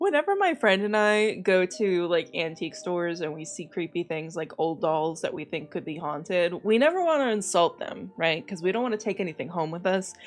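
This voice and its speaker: A woman's normal speaking voice with lively intonation. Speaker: VTuber. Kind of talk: casual reaction commentary to camera.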